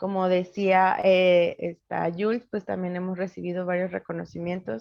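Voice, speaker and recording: A woman's medium-pitched voice, fairly slow in pace, with fairly even intonation. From Mexico, Hidalgo (Nahua community). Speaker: psychologist and social initiative founder. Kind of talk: interview.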